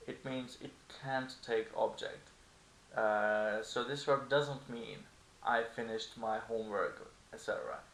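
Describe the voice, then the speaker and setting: With a Turkish accent, a man talks at a fairly slow pace amid audible room echo. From Turkey. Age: 20s. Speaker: language teacher. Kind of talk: tutorial. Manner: casual.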